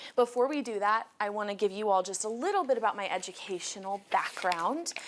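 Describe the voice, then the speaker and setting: A woman talks at a fairly quick pace, her pitch medium with ordinary variation. Noticeable background noise runs beneath her. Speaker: college counselor. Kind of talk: presentation to parents and students.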